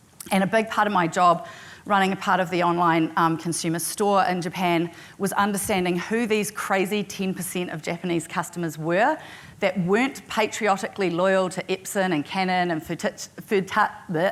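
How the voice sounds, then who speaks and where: A woman's medium-pitched voice at a moderate pace with fairly even intonation. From New Zealand. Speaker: tech company executive. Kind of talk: conference presentation.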